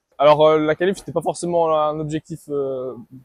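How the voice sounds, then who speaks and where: A man with a fairly high pitch speaks at a moderate pace. The sound is dry and close with no echo. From French-speaking Switzerland (Vaud, Morges). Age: 20s. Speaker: competitive swimmer. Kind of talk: interview answers. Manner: hesitant, many fillers and repetitions.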